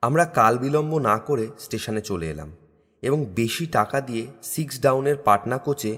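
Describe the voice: The text is read aloud plainly, its pitch moving in an ordinary way.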